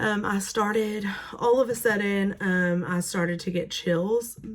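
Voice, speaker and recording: The speech comes at a fairly slow pace with ordinary pitch variation. Noticeable background noise sits behind it. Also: woman. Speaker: teacher sharing illness experience. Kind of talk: personal vlog. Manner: hesitant with many fillers.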